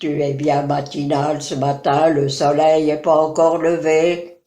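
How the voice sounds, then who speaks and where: Using a put-on character voice, a woman speaks at a fairly slow pace with a very deep, low pitch and monotone, flat intonation. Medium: read story. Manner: cheerful, teasing.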